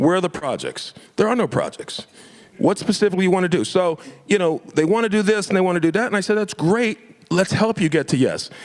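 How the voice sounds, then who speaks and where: Speaking very fast in an animated tone, a man with an American accent uses a high pitch, ordinary pitch variation and very even loudness. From Florida. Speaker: invited speaker against a state bill. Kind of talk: public meeting talk.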